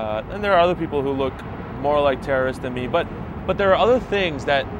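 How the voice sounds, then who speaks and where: Over noticeable background noise, the man speaks very fast in an American accent. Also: fairly high pitch for a man, lively intonation. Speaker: street interviewee. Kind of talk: street interview. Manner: halting, many fillers.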